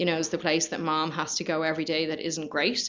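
Speaking with a Dublin accent, a woman has a fairly low pitch. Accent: Dublin Irish. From Ireland, Dublin. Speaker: company culture manager. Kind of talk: casual chat.

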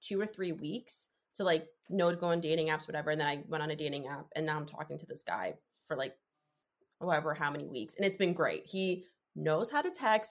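A woman with an American accent, a plain, everyday voice, ordinary pitch variation and a fairly quick pace. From New Jersey. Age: 20s. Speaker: podcast guest sharing dating story. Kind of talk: personal storytelling in casual interview.

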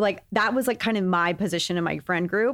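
In a very clean recording with a silent background, a woman with an American accent uses a normal speaking voice at medium pitch, with ordinary pitch variation and a moderate pace. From Texas. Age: 30s. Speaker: beauty podcast host. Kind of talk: casual chat.

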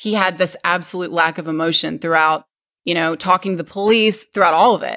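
Speaking fairly quickly with an American accent, this woman has a medium-pitched voice, a bright, sharp tone and ordinary pitch variation. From US South, Arkansas. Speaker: true crime podcaster, private investigator. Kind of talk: casual interview conversation. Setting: remote recording. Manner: fast talker.

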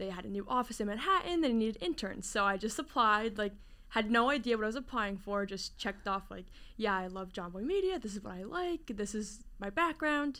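Bright and sharp in tone, a woman with a New Jersey accent speaks at a fairly quick pace and a fairly high pitch. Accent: New Jersey American. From New Jersey, Jersey Shore / Princeton area. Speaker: sales coordinator at a sports media company. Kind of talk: casual interview. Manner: casual, filler-heavy.

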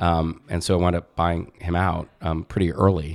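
A man with an American accent talks in a very deep, low voice on a very clean recording with a silent background. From New Jersey. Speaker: advertising agency founder. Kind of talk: interview.

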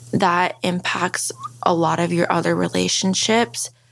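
A woman with an American accent at a very slow pace, against noticeable background noise. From Maryland, US. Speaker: Guatemalan adoptee. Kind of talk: interview.

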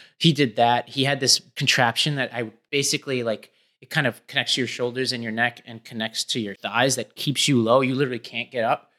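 With an American accent, a man speaks at a fairly quick pace with hardly any pauses, his medium-pitched voice bright and sharp yet monotone and flat, the loudness swinging widely, in a dry, close sound with no echo on a very clean recording with a silent background. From New York City, Staten Island. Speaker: education nonprofit executive and podcast co-host. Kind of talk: casual interview conversation. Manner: casual, filler-heavy.

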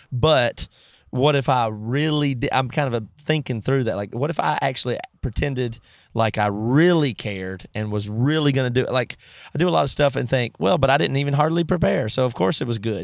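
A man with a normal speaking voice talks at a medium pitch and a fairly quick pace, with ordinary pitch variation. The recording is very clean, with a silent background. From US South (rural). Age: 30s. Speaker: musician. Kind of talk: casual interview conversation. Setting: parked vehicle.

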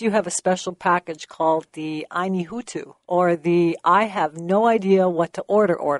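An ordinary speaking voice from a woman with a Canadian accent, medium in pitch with ordinary pitch variation, over a quiet background in a dry, close sound with no echo. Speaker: business association executive and co-host. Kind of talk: radio interview. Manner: formal.

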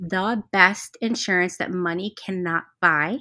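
A bright, sharp voice with an American accent carries ordinary pitch variation. The sound is dry and close with no echo, on a very clean recording with a silent background. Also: woman. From New Jersey (Cherry Hill, near Philadelphia). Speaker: entrepreneur and health advocate. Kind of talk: interview testimony.

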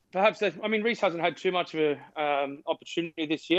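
An Australian accent marks a man who speaks at a very fast pace. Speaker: former rugby player and commentator. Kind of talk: radio interview. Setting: remote call.

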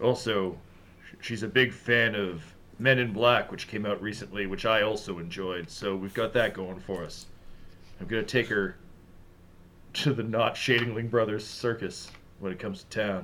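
Over clear background noise, a put-on character voice moves at a moderate pace with long, frequent pauses. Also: man, fairly low pitch for a man. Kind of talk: comic noir overacting. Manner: brooding, melancholy, oddly chatty.

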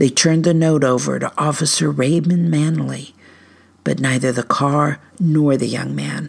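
This woman talks at a fairly slow pace while music plays in the background. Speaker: storyteller and researcher. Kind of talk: dramatic narration of news reports, read aloud in a spooky campfire-story style. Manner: hushed, suspenseful, measured pacing with ominous emphasis.

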